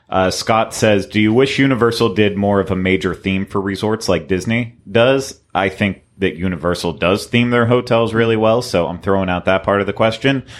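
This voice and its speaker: A man with an ordinary speaking voice and a fairly low pitch talks at a moderate pace with hardly any pauses and ordinary pitch variation. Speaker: podcast host. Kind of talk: casual panel chat.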